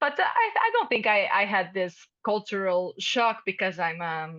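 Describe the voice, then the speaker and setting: A medium-pitched female voice with a Portuguese accent. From Portugal. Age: 30s. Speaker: international fellow, startup CEO. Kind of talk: panel interview. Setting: video call. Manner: halting.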